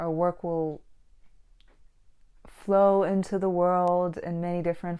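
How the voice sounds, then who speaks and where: In a quiet background, a woman with a non-native accent speaks in a dark, mellow tone and monotone, flat intonation. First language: not English. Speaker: book vlogger and painter. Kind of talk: casual monologue; reading aloud.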